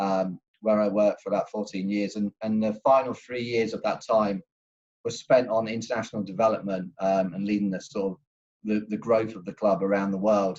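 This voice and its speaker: This man speaks at a fairly quick pace and a fairly low pitch. His intonation stays monotone and flat. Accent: English. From England. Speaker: football club executive. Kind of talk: panel discussion introduction.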